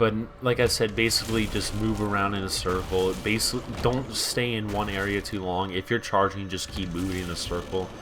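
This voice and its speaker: Background noise is noticeable and there is audible room echo. A man with a fairly low voice speaks at a fairly quick pace with fairly even intonation. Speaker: gaming youtuber. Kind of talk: gameplay commentary. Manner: casual, rambling with fillers.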